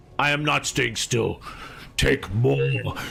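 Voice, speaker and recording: Growling in a put-on character voice, a man speaks at a medium pitch over clear background noise. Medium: actual play. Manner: coughing, growling, otherworldly.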